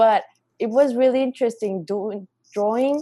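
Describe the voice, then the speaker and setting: Recorded dry and close with no echo, this voice in a Spanish accent has a dark, mellow tone, ordinary pitch variation and a fairly slow pace. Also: woman. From Mexico. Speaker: artist. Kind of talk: casual chat.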